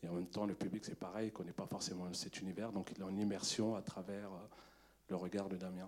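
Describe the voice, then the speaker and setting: Very deep and low, this man's voice stays monotone and flat while he talks at a fairly quick pace. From Paris suburbs, Montfermeil. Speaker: film director. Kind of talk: post-screening Q&A.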